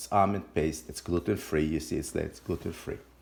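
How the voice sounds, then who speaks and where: This man speaks with a Lebanese accent. His pitch varies in an ordinary way. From Lebanon. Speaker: home cook and cooking teacher. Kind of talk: cooking tutorial. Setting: home kitchen. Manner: casual, with some hesitations.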